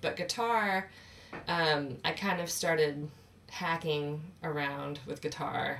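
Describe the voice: A woman speaks at a slow pace with a low pitch. Her tone is fairly bright, with ordinary pitch variation.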